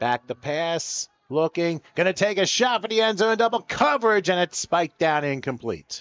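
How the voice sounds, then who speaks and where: The delivery moves at a moderate pace with lively intonation and hardly any pauses. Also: man, high pitch for a man. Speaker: play-by-play commentator. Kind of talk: live commentary; casual chat. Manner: animated.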